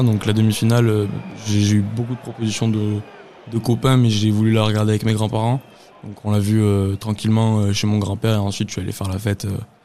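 Fairly quick speech in a monotone, flat intonation comes through over noticeable background noise. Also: man. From Lot, southwest France. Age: 20s. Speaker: football fan. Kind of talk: testimony. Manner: halting, many repetitions and hesitations.

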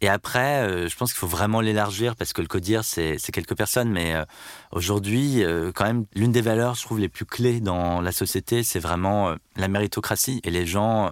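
A man's fairly low voice, an unremarkable speaking voice at a moderate pace, dry and close with no echo, on a very clean recording with a silent background. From Brittany, France (Landerneau, Finistère). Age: 30s. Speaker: company CEO. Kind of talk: interview.

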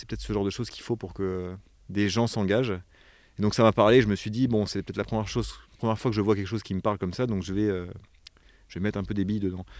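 A man with a fairly low voice talks at a very fast pace with fairly even intonation. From Provence, southern France. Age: 30s. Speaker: director of an environmental education association. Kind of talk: interview. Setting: on location in a forest lodge. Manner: hesitant, many fillers.

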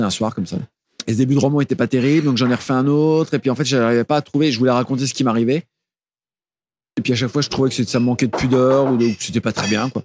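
The man talks at a very fast pace with fairly even intonation, the sound dry and close with no echo. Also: medium pitch for a man. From Burgundy, Nièvre (France). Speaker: singer-songwriter and novelist. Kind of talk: interview. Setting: studio. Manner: halting.

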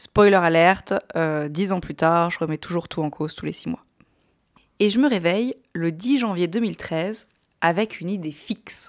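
In a very clean recording with a silent background, a woman speaks fairly slowly in an animated tone with ordinary pitch variation. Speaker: podcast host. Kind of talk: personal storytelling.

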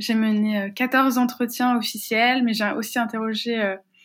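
A woman talks at a fairly high pitch on a very clean recording with a silent background. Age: 20s. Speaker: activist and researcher. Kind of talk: interview. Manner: hesitant, frequent fillers and repetitions.

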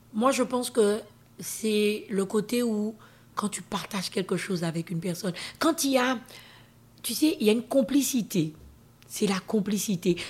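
Pausing long and often, a woman speaks in a somewhat breathy, fairly high voice with lively intonation. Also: fairly slow pace. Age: 50s. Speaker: interview guest sharing her life story. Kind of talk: testimony.

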